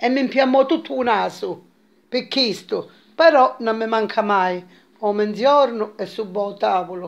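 The pace is fairly slow. A woman's pitch rises and falls by an ordinary amount.

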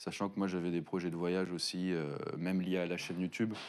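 A man's very deep, low voice at a moderate pace. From Paris region, France. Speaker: YouTuber and game studio founder. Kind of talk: casual interview. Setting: studio. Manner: hesitant, many fillers. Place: studio.

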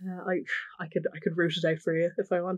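Over a quiet background, a woman with a Dublin accent speaks at a medium pitch. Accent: South Dublin Irish. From Ireland, South County Dublin. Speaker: interviewee. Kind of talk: personal testimony. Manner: casual, hesitant with fillers.

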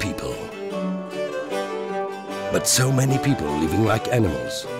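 Loud music plays in the background. The speech has a moderate pace and a dry sound with no echo. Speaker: voice actor. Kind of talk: TV commercial read. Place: studio. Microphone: studio mic.

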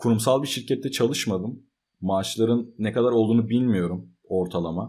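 There is a silent background on this very clean recording. The voice rises and falls in an ordinary way. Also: man. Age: 20s. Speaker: software developer and computer engineering student. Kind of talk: casual vlog talk.

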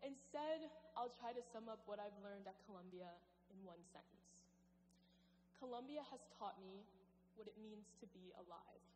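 Light background noise accompanies speech delivered at a moderate pace. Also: woman. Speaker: speaker. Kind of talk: commencement speech. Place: hall.

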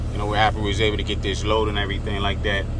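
A man's voice comes through dry with no echo, against noticeable background noise. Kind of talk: casual vlog chat. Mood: concerned, earnest. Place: car. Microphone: phone near.

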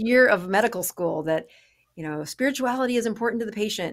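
Against a quiet background, a woman speaks with very wide pitch swings. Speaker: podcast guest. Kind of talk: interview answer. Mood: warm, animated. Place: office. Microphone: studio mic.

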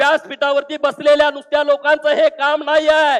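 A man speaks with an extremely high pitch. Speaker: politician. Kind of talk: political rally speech. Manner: forceful oratory.

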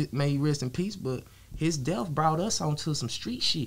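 Fairly high in pitch, a man speaks with an American accent. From Texas. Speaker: rapper; interview guest. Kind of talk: casual interview. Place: studio. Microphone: studio mic.

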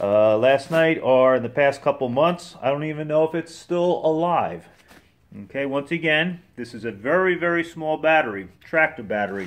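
The man's intonation is lively. His pace is moderate. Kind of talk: casual tutorial narration. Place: garage. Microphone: phone near.

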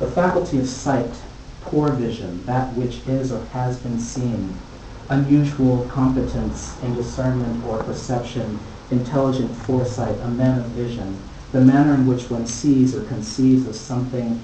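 A man with an American accent at a moderate pace and fairly even intonation, with audible room echo and light background noise. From United States. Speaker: poet and visual artist. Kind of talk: poetry reading. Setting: live gallery reading. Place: hall. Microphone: camera far.

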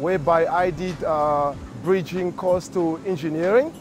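A man with a high voice speaks with ordinary pitch variation over clear background music, the sound dry and free of echo. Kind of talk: interview answer. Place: factory. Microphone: lapel.

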